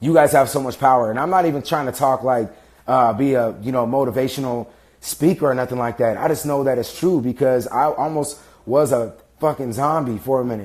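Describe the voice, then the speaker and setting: Against a silent background in a very clean recording, a man talks at a fairly quick pace and a medium pitch with ordinary pitch variation. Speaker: fitness and motivation vlogger. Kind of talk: livestream monologue. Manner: fast; casual, halting with fillers.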